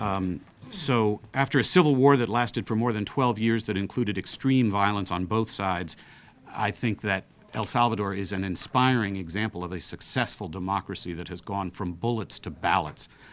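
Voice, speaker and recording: A man with an ordinary speaking voice talks at a moderate pace, with fairly low pitch and ordinary pitch variation. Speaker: council president. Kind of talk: press briefing statement. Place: meeting room. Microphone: studio mic.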